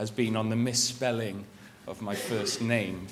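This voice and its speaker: In a Welsh accent, a man speaks at a moderate pace and medium pitch in a flat monotone, with audible room echo. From Wales. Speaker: journalist and magazine editor. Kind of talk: conference presentation. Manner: hesitant, many fillers and restarts.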